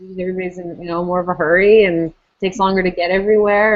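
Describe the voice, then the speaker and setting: A woman with a slight East Coast Canadian accent talks at a very fast pace. Her medium-pitched voice stays monotone and flat. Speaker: parent vlogger. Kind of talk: casual chat.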